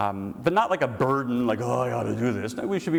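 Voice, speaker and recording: An American-accented man talks very fast in an animated tone. Noticeable background noise runs underneath. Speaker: priest. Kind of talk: lecture.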